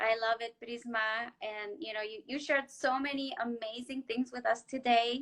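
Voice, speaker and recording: A woman with a Spanish accent talks at a moderate pace with hardly any pauses. Her pitch is high and her intonation fairly even. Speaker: therapist and show host. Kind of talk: live-stream interview.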